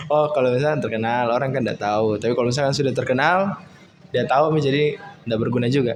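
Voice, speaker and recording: Very fast and very even in loudness, the speech comes in a Makassar accent with ordinary pitch variation over noticeable background noise. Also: man, medium pitch for a man. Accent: Makassar accent, put on for this podcast. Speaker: podcast host. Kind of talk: casual chat.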